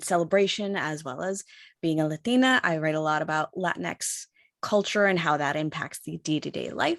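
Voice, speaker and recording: With an American accent, a woman speaks in an unremarkable speaking voice, fairly low in pitch and fairly even in intonation, on a very clean, dry, close recording with a silent background and no echo. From New York. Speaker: podcast writer, panelist. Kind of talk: panel discussion.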